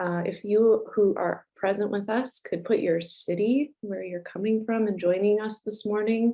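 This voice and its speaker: Fairly even intonation with hardly any pauses. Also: woman, fairly high pitch for a woman. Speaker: nonprofit founder and director opening a symposium. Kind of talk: welcome remarks at a virtual symposium. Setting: video conference. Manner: hesitant, many fillers; slow, unhurried.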